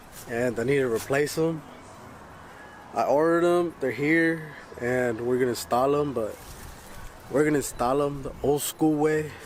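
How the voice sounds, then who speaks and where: A man at fairly high pitch with ordinary variation, moderate pace and long, frequent pauses, amid noticeable background noise and audible room echo. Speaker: vlogger. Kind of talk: casual vlog.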